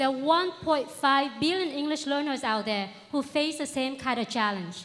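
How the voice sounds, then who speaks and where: The speaker has a Vietnamese accent and talks at a moderate pace with lively intonation. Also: woman. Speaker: startup founder. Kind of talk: pitch presentation.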